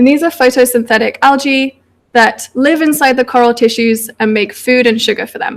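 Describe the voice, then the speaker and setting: A woman with a British accent speaks at a moderate pace in a high pitch. Her pitch varies in an ordinary way. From United Kingdom. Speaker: PhD researcher. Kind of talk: public science talk.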